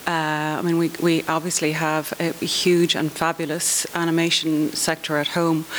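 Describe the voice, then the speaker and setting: With an Irish accent, a woman speaks at a fairly low pitch over noticeable background noise. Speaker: children's TV commissioner. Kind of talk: conference panel discussion.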